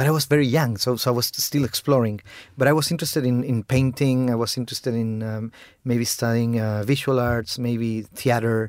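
With a Spanish accent, a man talks at a fairly quick pace and keeps his intonation fairly even. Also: medium pitch for a man, very clean recording, silent background. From Chile. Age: 40s. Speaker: film director. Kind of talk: interview.

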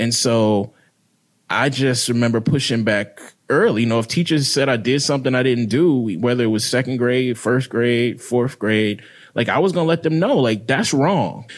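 In a very clean recording with a silent background, a speaker with an American accent talks at a moderate pace, with ordinary pitch variation and very even loudness. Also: man, medium pitch for a man. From Mississippi. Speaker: writer. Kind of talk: casual chat.

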